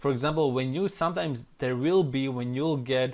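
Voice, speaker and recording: A man with a non-native accent and a medium-pitched voice, speaking at a moderate pace with ordinary pitch variation, on a very clean recording with a silent background. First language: not English. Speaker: online marketing trainer. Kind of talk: tutorial. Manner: casual.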